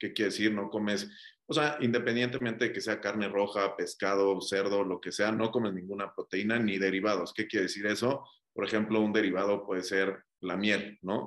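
A man with a plain, everyday voice, fairly low pitch, fairly even intonation, and a moderate pace. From Mexico (Cuernavaca, Monterrey). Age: 30s. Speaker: entrepreneur. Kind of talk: casual chat.

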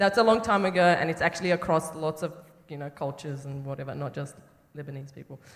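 Very fast speech in an Australian accent. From western Sydney, Australia. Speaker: filmmaker. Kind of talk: panel conversation on stage. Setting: theatre stage with live audience.

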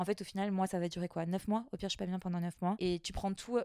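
Her voice has a dark, mellow tone at a medium pitch with monotone, flat intonation, captured in a very clean, dry, close recording with no echo and a silent background. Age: 30s. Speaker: pharmacist. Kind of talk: casual chat. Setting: chalet bedroom recording.

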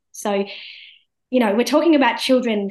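Fairly quick speech from a woman with an Australian accent. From India, raised in Australia. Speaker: law professor. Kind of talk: interview.

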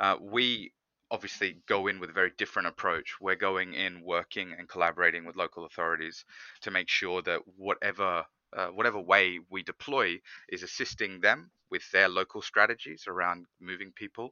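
Speaking at a moderate pace with an Australian accent, a man with a very deep, low voice keeps his intonation fairly even. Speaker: scooter company manager. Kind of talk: interview.

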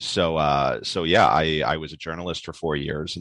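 A man with a New York accent talks in a very deep, low pitch and a monotone, flat intonation, with a dry, close sound and no echo. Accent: New York American. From New York City. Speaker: novelist. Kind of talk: interview.

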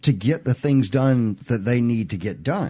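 A man speaks at a fairly slow pace with a Southern US accent. The background is quiet. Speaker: radio host. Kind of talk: call-in radio show. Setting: studio.

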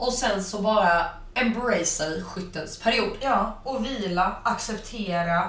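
A woman talks with ordinary pitch variation. Audible room echo and noticeable background noise are present. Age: 20s. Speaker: spiritual wellness podcast co-host. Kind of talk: casual chat.

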